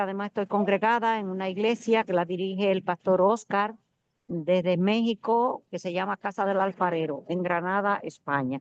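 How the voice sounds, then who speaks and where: An unremarkable speaking voice from a woman at medium pitch moves at a moderate pace with fairly even intonation, dry and close with no echo over a quiet background. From Dominican Republic. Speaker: student. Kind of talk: self-introduction.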